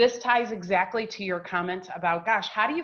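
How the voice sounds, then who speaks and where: Here is a woman at medium pitch. Her intonation is lively. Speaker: communication consultant. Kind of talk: webinar presentation. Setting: online webinar. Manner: fast.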